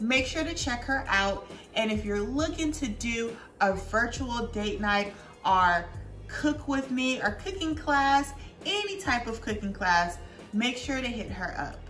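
A woman's high voice at a fairly slow pace, with faint music in the background. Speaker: home cooking vlogger. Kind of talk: casual vlog chat. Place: kitchen. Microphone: camera far.

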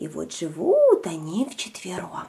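Her voice fairly low and delivered at a fairly slow pace, a woman speaks with a dark, mellow tone, vocal fry and a husky, rough edge, her pitch swinging very widely.

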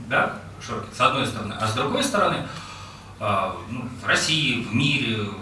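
A man talks at a moderate pace with a medium pitch. Light background noise and audible room echo are present. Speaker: executive director of a foundation. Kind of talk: presentation. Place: hall.

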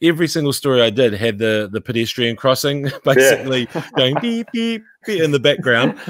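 Speaking at a fairly quick pace, a man comes through in a dry sound with no echo over a quiet background. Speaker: podcast guest. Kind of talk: interview answer. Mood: amused, reminiscing. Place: home room. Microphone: studio mic.

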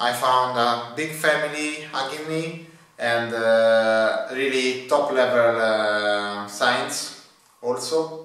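Heard with audible room echo, a man in an Italian accent speaks very slowly at a medium pitch with ordinary pitch variation. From Italy. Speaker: PhD student. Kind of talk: testimony. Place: office.

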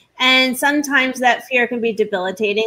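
A woman in a normal speaking voice, with ordinary pitch variation at a fairly quick pace. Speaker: talk show host and lawyer; talk show host, lawyer. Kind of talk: roundtable interview. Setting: live online stream. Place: home room. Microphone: webcam.

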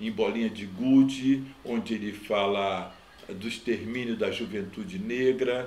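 Audible room echo surrounds a man speaking at a very slow pace. His pitch varies in an ordinary way. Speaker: grandson of a poet. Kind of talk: interview answer. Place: home room.

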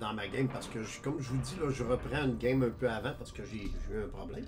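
A man speaks with lively intonation, and room echo can be heard. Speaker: gaming YouTuber. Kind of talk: gameplay tutorial. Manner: casual, halting with many fillers.

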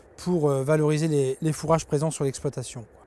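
A fairly high-pitched man's voice in a dark, mellow tone, with a dry sound and no echo. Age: 30s. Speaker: farm manager at an agricultural school. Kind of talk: interview. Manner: hesitant with frequent fillers.

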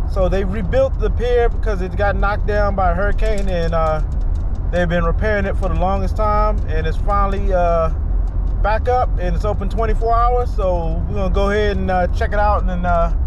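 A man speaks at a moderate pace with very even loudness. The sound is dry with no echo, and background noise is noticeable. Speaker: fishing vlogger. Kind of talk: casual vlog chat. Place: car.

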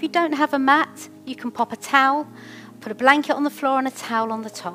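A woman's high-pitched voice at a moderate pace, with faint music in the background. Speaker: fitness instructor. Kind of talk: exercise class instruction. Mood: warm, encouraging. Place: home room.

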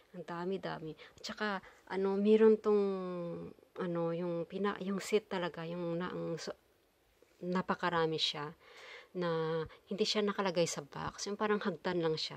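A woman speaks at a moderate pace in a fairly low voice with fairly even intonation. Long, frequent pauses break it up, and her loudness swings widely. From Philippines. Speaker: vlogger. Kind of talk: casual vlog talk; casual vlog chat. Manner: halting. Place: home room. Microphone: phone near.

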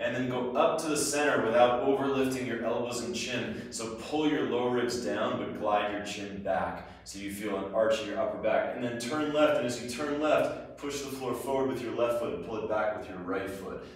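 With strong room echo and light background noise behind him, a man talks at a moderate pace with ordinary pitch variation and hardly any pauses. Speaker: movement instructor. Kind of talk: tutorial.

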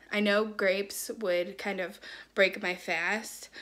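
Music plays in the background as a woman talks. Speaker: lifestyle vlogger. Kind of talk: casual vlog chat. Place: home room. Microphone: phone near.

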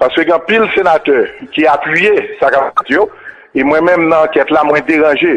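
A man speaks at a moderate pace with very even loudness. His intonation stays fairly even. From Haiti. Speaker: senator. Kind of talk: testimony. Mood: firm, critical. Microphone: podium.

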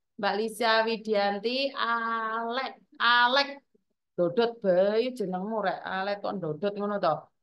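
A fairly high female voice at a very slow pace. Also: ordinary pitch variation. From Java, Indonesia. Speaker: live streamer, migrant worker community host. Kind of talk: casual live stream chat. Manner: loud; animated. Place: home room. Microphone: phone near.

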